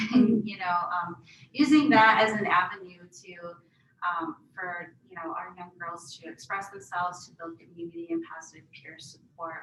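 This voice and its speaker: A woman speaks at a moderate pace in an American accent. Her pitch sits fairly low with ordinary variation, and her loudness swings widely. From Wisconsin, Menominee Reservation. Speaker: health professions center director, panelist. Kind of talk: panel talk, self-introduction. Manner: hesitant, many fillers.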